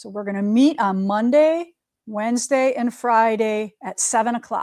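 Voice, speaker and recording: Speaking at a moderate pace, a woman with a fairly high pitch and ordinary pitch variation has big swings in loudness. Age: 50s. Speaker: quilting shop owner and livestream host. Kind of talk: casual livestream chat. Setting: studio. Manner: animated.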